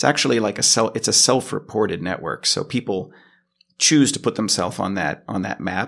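An unremarkable speaking voice from a man with an American accent, fairly low in pitch and fairly quick in pace, in a very clean recording with a silent background. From US West Coast, Los Angeles. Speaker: software engineer. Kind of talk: interview. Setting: office.

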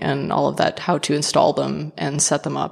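Vocal fry marks a woman's voice as she talks at a moderate pace. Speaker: independent journalist. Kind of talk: interview. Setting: remote call.

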